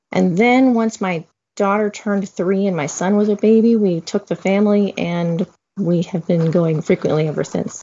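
A woman speaks at a moderate pace in an unremarkable speaking voice. Her pitch is medium, with ordinary pitch variation. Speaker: guest discussing upcoming Disney trip. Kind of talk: casual interview chat.

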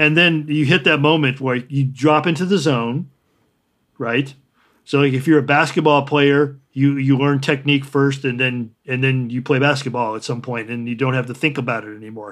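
With a General American accent, a man has a normal speaking voice and a fairly high pitch. He talks at a moderate pace with fairly even intonation. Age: 60s. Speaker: artist and writer. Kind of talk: interview.

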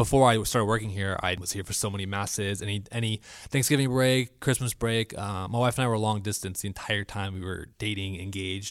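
On a very clean recording with a silent background, a man with an ordinary speaking voice and an American accent talks at a fairly low pitch and a fairly quick pace, with fairly even intonation and hardly any pauses. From Florida. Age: 20s. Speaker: church media technician. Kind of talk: casual chat.

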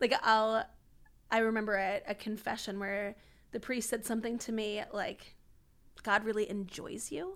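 A woman speaks at a fairly high pitch with fairly even intonation, leaving long, frequent pauses. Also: moderate pace. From US, Washington DC area. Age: 30s. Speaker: itinerant missionary and speaker. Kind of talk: podcast interview about faith.

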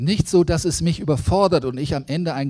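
A somewhat breathy man with a fairly high pitch is heard on a very clean recording with a silent background. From Lower Saxony, Germany (Braunschweig). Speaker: preacher, theology lecturer. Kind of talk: sermon. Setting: church service.

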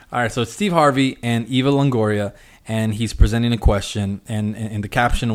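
A man speaks in an unremarkable speaking voice at a medium pitch, with fairly even intonation. The recording is very clean, with a silent background. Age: 20s. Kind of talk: casual chat. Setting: studio.

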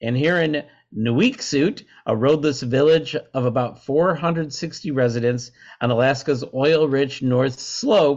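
A man's normal speaking voice, fairly high-pitched, with ordinary pitch variation. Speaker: podcast host. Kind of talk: casual banter and news reading.

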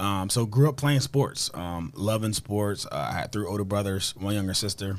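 A man with an American accent talks at a moderate pace in a fairly low pitch with ordinary pitch variation, over noticeable background noise. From New Jersey, Camden. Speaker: former pro football player and author. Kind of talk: interview. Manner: many filler words.

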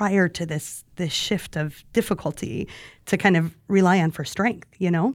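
Recorded very cleanly against a silent background, a woman with a fairly low pitch and ordinary pitch variation has an unremarkable speaking voice. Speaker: podcast host. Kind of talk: casual interview chat.

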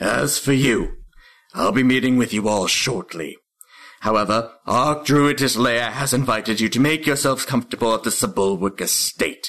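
Using a put-on character voice, a man talks at a moderate pace with a medium pitch. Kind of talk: formal, commanding.

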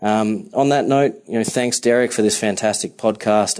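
A man with an Australian accent speaks at a moderate pace and a fairly low pitch. His intonation is fairly even, and the background is quiet. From Melbourne, Australia. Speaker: software solutions architect. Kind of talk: recorded voice memo.

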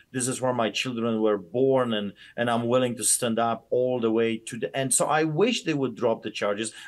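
This man has an Eastern European accent and a medium pitch. He talks with hardly any pauses. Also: fairly even intonation, moderate pace. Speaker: pastor. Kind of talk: interview, heated and passionate.

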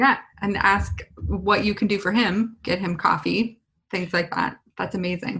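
Bright and sharp in tone, a woman with a medium pitch, vocal fry and an American accent speaks at a fairly slow pace with fairly even intonation. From US West Coast, San Diego (Lakeside). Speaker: podcast host and coding school CEO. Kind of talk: casual interview.

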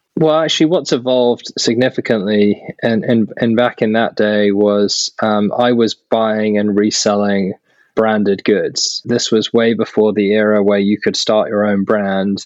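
A man with a British accent speaks at a fairly slow pace and fairly low pitch, with ordinary pitch variation and very even loudness. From UK. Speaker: startup founder and CEO. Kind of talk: interview. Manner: hesitant with fillers and repetitions.

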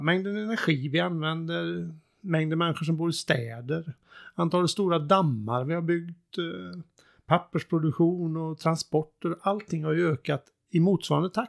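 A man speaks in an ordinary speaking voice at a fairly high pitch, with ordinary pitch variation and a moderate pace. The recording is very clean, with a silent background and a dry, close sound with no echo. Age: 50s. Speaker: sustainability consultant. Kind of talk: casual chat.

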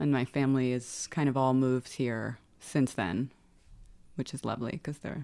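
A woman's very deep, low voice in a New York accent, dark and mellow in tone, at a moderate pace with ordinary pitch variation and long, frequent pauses. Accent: New York American. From New York (Westchester). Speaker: lawyer. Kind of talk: casual chat.

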